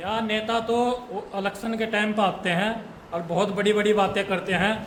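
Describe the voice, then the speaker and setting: A man's high-pitched, monotone, flat delivery amid noticeable background noise and audible room echo. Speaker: farmer. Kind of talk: interview testimony.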